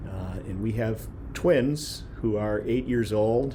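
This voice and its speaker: With a medium pitch and fairly even intonation, a man speaks in an Upper Midwest accent amid noticeable background noise and audible room echo. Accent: Upper Midwest American. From Wisconsin, Kenosha. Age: 40s. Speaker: county communications manager. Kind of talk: self-introduction on panel. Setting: video call from office.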